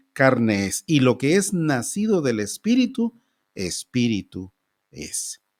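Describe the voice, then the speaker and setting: A man at a very slow pace with very wide pitch swings, on a very clean recording with a silent background. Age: 60s. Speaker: pastor. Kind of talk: sermon.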